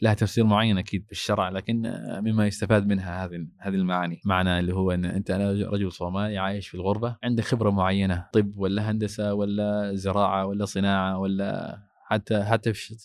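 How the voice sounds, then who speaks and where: A man with a fairly low pitch, monotone, flat intonation, at a moderate pace. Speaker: mosque imam. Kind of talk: interview.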